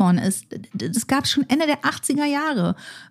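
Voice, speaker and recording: A woman's voice, dark, mellow and somewhat breathy, moves in very wide pitch swings within a dry, close sound with no echo. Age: 40s. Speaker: futurist. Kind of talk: conversational interview.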